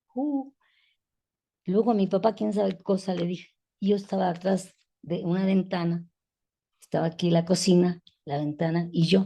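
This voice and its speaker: A woman with a dark, mellow tone and a somewhat breathy voice speaks at a medium pitch with ordinary pitch variation. Her pace is moderate, broken by long, frequent pauses. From Mexico City. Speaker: feminist educator. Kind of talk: interview conversation. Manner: halting.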